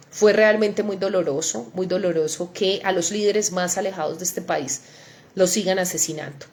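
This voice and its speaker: Noticeable background noise behind a woman's voice of medium pitch. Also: ordinary pitch variation, moderate pace. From Antioquia, Colombia (Ituango). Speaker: senator. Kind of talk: livestream update. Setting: live online broadcast.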